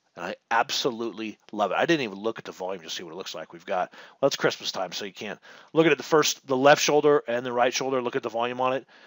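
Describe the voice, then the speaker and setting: A man with a medium-pitched voice talks at a very fast pace in an animated tone, with lively intonation. His loudness swings widely, and the sound is dry and close with no echo. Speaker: stock trading educator. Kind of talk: market analysis webinar.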